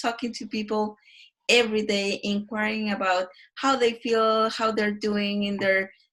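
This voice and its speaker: In a Mexican accent, a woman talks at a fairly slow pace with a fairly high pitch. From Mexico. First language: Spanish. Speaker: design researcher. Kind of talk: casual interview.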